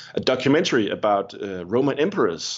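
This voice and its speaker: Speaking with a Danish accent, a man keeps a moderate pace and medium pitch with lively intonation. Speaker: pastor. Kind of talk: interview. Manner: halting, many repetitions.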